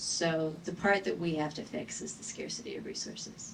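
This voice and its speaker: A woman is speaking. Her pace is moderate. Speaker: advocate against gender violence. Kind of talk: panel discussion.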